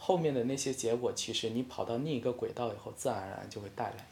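A man's medium-pitched, somewhat breathy voice, fairly quick, with ordinary pitch variation. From China, Hainan. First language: Hainanese (speaking Chinese). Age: 20s. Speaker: freelance short-video creator. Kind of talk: casual interview chat. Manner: hesitant, many filler sounds.

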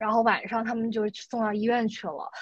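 Against a quiet background, a woman talks at a moderate pace. She has a fairly high pitch and an unremarkable speaking voice. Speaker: guest, works in US. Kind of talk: casual chat.

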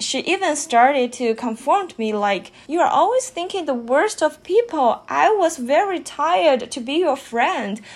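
A woman talks in a Chinese accent at a fairly slow pace. Her pitch swings very widely. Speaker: podcast host. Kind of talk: casual monologue.

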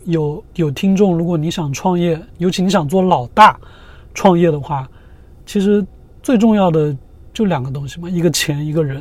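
At a moderate pace, a man speaks in a high pitch. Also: ordinary pitch variation. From China. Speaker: entrepreneur. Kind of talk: interview.

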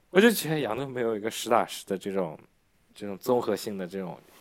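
An ordinary speaking voice from a man, fairly low in pitch, with ordinary pitch variation at a fairly quick pace. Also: big swings in loudness. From Yancheng, Jiangsu; raised in Yangzhou from age ~11. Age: young. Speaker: video creator and studio owner. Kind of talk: casual interview.

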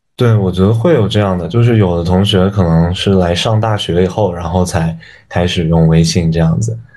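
Audible room echo surrounds a man's very deep, low voice. He talks at a fairly quick pace with ordinary pitch variation. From China, Yunnan (Dali). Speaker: university student and intern. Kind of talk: casual chat.

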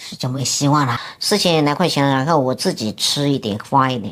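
A woman with a very deep, low pitch talks at a fairly quick pace with ordinary pitch variation. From Hunan, Xinhua county. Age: 50s. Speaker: office building cleaner and self-taught painter. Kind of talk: interview about life story.

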